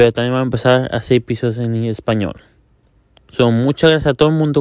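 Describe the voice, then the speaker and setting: Against a quiet background, a man with a medium pitch talks with fairly even intonation in a dry, close sound with no echo. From US, Miami. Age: young. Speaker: sneaker and fashion show host. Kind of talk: casual show introduction. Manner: halting.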